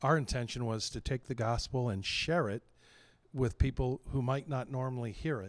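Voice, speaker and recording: At a moderate pace, a man with an ordinary speaking voice talks at medium pitch with ordinary pitch variation. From western Pennsylvania. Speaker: pastor. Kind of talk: interview. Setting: convention.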